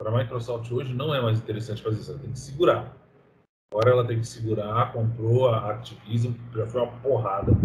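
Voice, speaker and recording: A man's medium-pitched voice, fairly even in intonation, at a very fast pace. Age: 30s. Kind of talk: casual chat.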